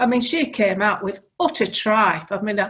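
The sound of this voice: A woman speaks at a moderate pace and a medium pitch, with a slightly husky edge. Her tone is fairly bright and her intonation lively.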